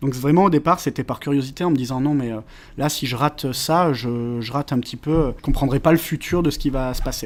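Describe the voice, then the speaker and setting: On a very clean recording with a silent background, a man speaks at a fairly high pitch and moderate pace with ordinary pitch variation. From France, Valence (Drôme). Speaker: web marketing consultant. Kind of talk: podcast interview. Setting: meeting room. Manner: hesitant, many filler sounds.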